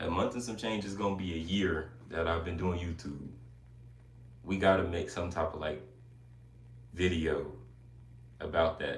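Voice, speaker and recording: A man speaks in a very deep, low pitch, somewhat breathy. Long, frequent pauses break up his speech, and room echo is audible. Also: ordinary pitch variation, moderate pace. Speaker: YouTuber live streamer. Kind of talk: casual live stream chat. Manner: casual, chatty.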